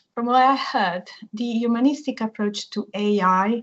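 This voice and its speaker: A woman's fairly high-pitched, somewhat breathy voice. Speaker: university language researcher. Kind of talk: academic seminar talk.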